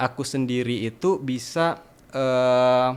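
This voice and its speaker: A man is speaking. He has a slight Sumatran accent. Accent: slight Sumatran regional accent in Indonesian. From Sumatra, Indonesia. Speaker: university student. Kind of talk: podcast interview. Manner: hesitant, many fillers.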